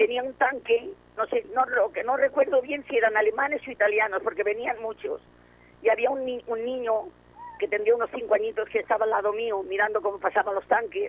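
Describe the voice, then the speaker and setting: Speaking at a fairly quick pace, a woman uses a high pitch and lively intonation. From Barcelona, Spain. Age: 80s+. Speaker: war survivor. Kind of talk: testimony.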